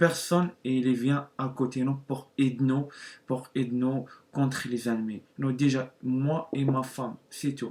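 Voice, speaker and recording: A man's medium-pitched, flat monotone with a non-native accent at a very slow pace. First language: not French (speaking French). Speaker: YouTuber. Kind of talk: testimony. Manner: halting.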